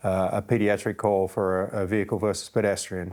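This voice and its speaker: A man with an Australian accent speaks in a fairly low pitch at a moderate pace. His intonation is monotone and flat. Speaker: fire chief. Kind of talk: interview podcast. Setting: studio, sitting across the table.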